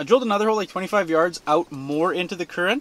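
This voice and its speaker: At a very fast pace, a man talks with high pitch and very wide pitch swings, the sound dry with no echo. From Winnipeg, Manitoba, Canada. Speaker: ice fishing video creator. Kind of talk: casual vlog narration. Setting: outdoors on a frozen lake. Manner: animated. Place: tent. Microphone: phone near.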